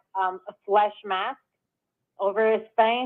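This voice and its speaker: Speaking with a New York accent, a woman's voice sits fairly high in pitch. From New York City. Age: 30s. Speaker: caller. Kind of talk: call-in chat.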